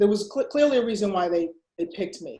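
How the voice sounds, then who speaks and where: Her tone is dark and mellow, at a medium pitch for a woman, in an American accent. Her intonation is lively. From US Northeast, Boston, Massachusetts. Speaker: mentor and community leader. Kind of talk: interview.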